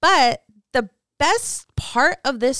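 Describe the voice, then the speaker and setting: At a very slow pace, a woman speaks on a very clean recording with a silent background and a dry, close sound with no echo. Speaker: guest. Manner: loud, talkative.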